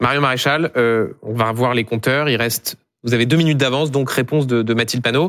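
Over a very clean recording with a silent background, a man with a plain, everyday voice talks at a fairly quick pace, his medium pitch held in fairly even intonation. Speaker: TV host. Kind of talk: debate moderation.

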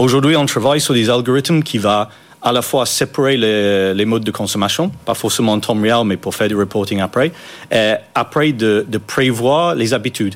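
A man with a slight non-native accent talks at a moderate pace and keeps his loudness very even. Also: medium pitch for a man, ordinary pitch variation. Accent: slight foreign. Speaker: startup co-founder. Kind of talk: interview. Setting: studio.

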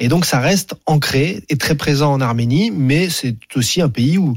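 With a somewhat breathy voice, a man speaks at a fairly high pitch with lively intonation. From Paris suburbs, France. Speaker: sports journalist. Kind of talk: radio interview.

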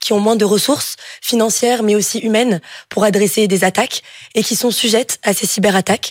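A woman with an unremarkable speaking voice, fairly high in pitch and fairly even in intonation. She speaks at a moderate pace, and the sound is dry and close with no echo. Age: 20s. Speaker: engineering student. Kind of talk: job interview on radio. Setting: studio.

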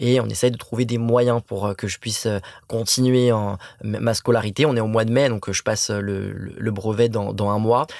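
A man's flat, monotone delivery at a moderate pace. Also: medium pitch for a man. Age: 20s. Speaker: anti-bullying association president. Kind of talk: interview. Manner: halting, repeats words.

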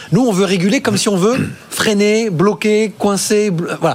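Noticeable background noise sits behind a man whose voice is high-pitched. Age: 40s. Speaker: investment platform co-founder. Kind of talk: studio debate.

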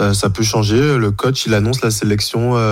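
A man with an unremarkable speaking voice talks at a medium pitch on a very clean recording with a silent background. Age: 30s. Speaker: fencer. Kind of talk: casual chat.

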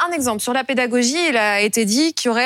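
A woman speaks in a high voice at a fairly quick pace. The sound is dry and close, with no echo. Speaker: TV news host. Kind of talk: interview.

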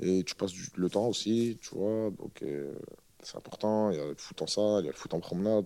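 Speaking at a fairly quick pace, a man uses a fairly low pitch and a dark, mellow tone. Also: ordinary pitch variation. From northern France, Roubaix. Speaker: rapper. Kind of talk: casual interview chat.

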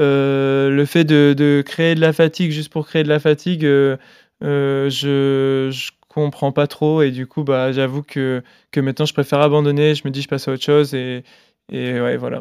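The speaker talks at a fairly slow pace with monotone, flat intonation, in a dry, close sound with no echo on a very clean recording with a silent background. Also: man, fairly high pitch for a man. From France, Grenoble. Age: 20s. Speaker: marathon runner. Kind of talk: casual interview.

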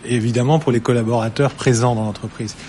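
A man is talking. His voice is somewhat breathy. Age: 40s. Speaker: company CEO. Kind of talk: studio interview.

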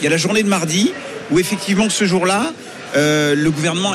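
A man talks at a fairly quick pace in a high voice, with ordinary pitch variation. Noticeable background noise sits behind him. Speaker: journalist pundit. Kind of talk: panel debate. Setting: live broadcast from agricultural fair stand.

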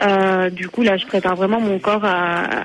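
A woman speaks in a flat monotone. Her pace is very slow. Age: 20s. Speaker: long-distance runner. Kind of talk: radio interview.

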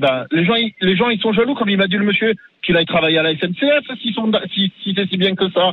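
Speaking at a fairly quick pace in a high, animated voice, a man is heard over noticeable background noise. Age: 50s. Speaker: garbage truck driver. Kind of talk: street interview.

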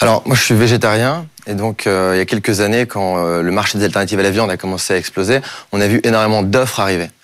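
Amid noticeable background noise, a man talks at a very fast pace with a fairly low pitch, ordinary pitch variation and very even loudness. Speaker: startup cofounder. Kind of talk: startup pitch. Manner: energetic.

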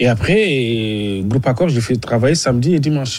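A man at a medium pitch talks at a very fast pace with ordinary pitch variation. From Mauritania. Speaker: sports journalist. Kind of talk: radio interview. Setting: radio studio in Abidjan.

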